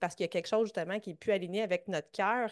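A woman speaks at a very fast pace with ordinary pitch variation. The sound is dry and close with no echo, over a quiet background. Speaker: fitness coach and podcast host. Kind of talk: interview.

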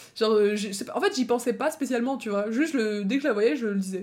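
A woman speaks very fast in a fairly high voice with ordinary pitch variation, in a very clean recording with a silent background. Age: 20s. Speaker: podcast host. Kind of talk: casual monologue, storytelling. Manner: animated.

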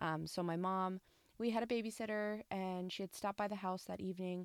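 A woman speaks in a plain, everyday voice at a medium pitch, with ordinary pitch variation. The recording is very clean, with a silent background and a dry, close sound with no echo. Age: 30s. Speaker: podcast host. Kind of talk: personal monologue.

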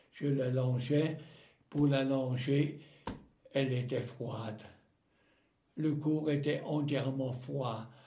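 In a room with audible echo, a man speaks very slowly with long, frequent pauses, his medium-pitched voice somewhat breathy, dark and mellow, and flat in a monotone. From Alsace, France. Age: 80s+. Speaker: war veteran. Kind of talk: testimony. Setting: at home. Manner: halting.

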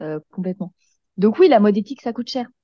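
A woman's medium-pitched voice has a dark, mellow tone and ordinary pitch variation, heard with a dry, close sound with no echo over a quiet background. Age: 20s. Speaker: eco-lifestyle content creator. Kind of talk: casual interview chat.

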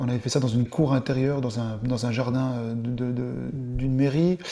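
A man talks with a medium pitch and a dark, mellow tone. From eastern France (Dole, Jura). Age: 40s. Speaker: show producer, entrepreneur. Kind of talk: interview, casual chat.

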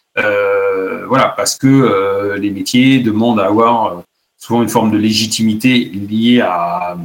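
Here a man talks at a fairly slow pace. His pitch is medium and his intonation fairly even. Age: 40s. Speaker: automotive industry executive. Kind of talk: interview. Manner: hesitant, many fillers and repetitions.

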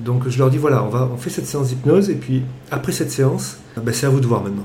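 Noticeable background noise and audible room echo accompany a male speaker whose pitch varies in an ordinary way. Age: 40s. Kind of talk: interview.

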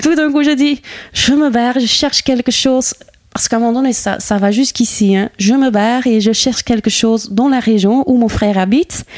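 Speaking with a Flemish accent at a fairly quick pace, a woman keeps a very even loudness in a dry, close sound with no echo. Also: ordinary pitch variation. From Flanders, Campine (Herselt). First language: Dutch (Flemish) (speaking French). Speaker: Flemish woman settled in the Ardennes. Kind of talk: interview conversation. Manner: halting, many hesitations.

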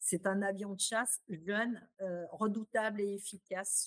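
Dry, close sound with no echo from a woman at a medium pitch, very slow pace and fairly even intonation. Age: 50s. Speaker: retail executive. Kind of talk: interview. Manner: hesitant, with frequent fillers.

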